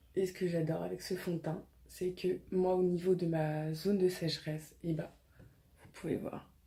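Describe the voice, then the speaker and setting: A woman's somewhat breathy, fairly low voice, monotone and flat, at a very slow pace. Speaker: beauty vlogger. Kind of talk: tutorial. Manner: casual, lots of hesitations.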